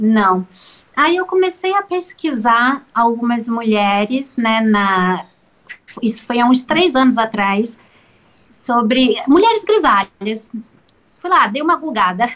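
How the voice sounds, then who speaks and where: Speaking very slowly with long, frequent pauses, a woman uses a high pitch and very wide pitch swings. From Rio de Janeiro state, Brazil (São Gonçalo). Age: 30s. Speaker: actress. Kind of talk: casual interview chat.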